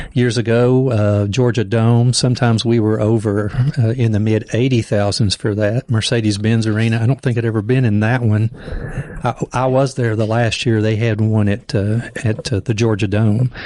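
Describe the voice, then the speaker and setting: A man talks at a moderate pace in a medium pitch, his intonation monotone and flat and his loudness very even, over noticeable background noise. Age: 60s. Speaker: pastor and podcast host. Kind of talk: casual podcast conversation.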